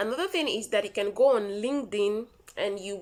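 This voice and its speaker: A woman with a Nigerian accent talks at a medium pitch and a moderate pace, with ordinary pitch variation. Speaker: vlogger. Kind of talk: tutorial. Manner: casual, repetitive.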